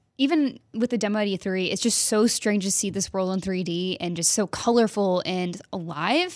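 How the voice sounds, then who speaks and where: A woman with an unremarkable speaking voice talks at a moderate pace in an American accent, her pitch medium. The recording is very clean, with a silent background. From Texas. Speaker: games journalist. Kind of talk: casual chat.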